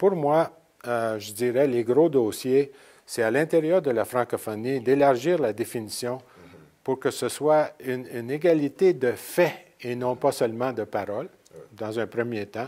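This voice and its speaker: A man speaks at a fairly slow pace in a dark, mellow tone, his medium pitch moving with ordinary variation. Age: 70s. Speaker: president of a francophone association. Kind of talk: interview. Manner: loud; halting.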